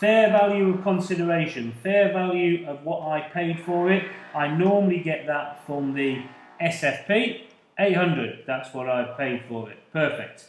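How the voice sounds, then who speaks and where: Amid audible room echo, a man with high pitch and ordinary pitch variation speaks at a fairly slow pace with big swings in loudness. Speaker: accounting tutor. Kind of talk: lecture.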